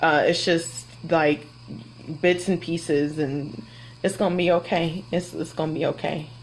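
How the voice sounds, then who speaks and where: A woman speaks loudly at a moderate pace, her pitch fairly low and her intonation fairly even. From Florida. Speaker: kindergarten teacher. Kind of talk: live Q&A. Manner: casual, hesitant with fillers.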